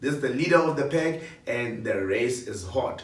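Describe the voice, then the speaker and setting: Over noticeable background noise and audible room echo, a man with a fairly high pitch speaks in an animated tone at a moderate pace with ordinary pitch variation. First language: not a local South African language. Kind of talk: announcing nominee rankings.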